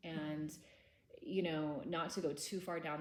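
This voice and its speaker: The voice moves at a moderate pace with ordinary pitch variation, and audible room echo fills the recording. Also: woman. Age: 30s. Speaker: trauma workshop teacher. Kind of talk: lecture. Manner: casual.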